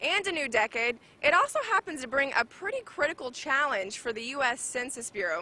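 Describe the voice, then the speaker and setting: Speaking with an American accent, a woman projects a raised voice at a high pitch, using lively intonation and a fairly quick pace. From United States. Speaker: TV news reporter and anchor. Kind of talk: TV news report.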